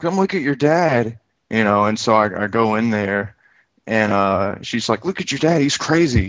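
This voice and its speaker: With a quiet background, a man speaks at a moderate pace and a medium pitch. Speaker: caller. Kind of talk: call-in discussion. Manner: monotone.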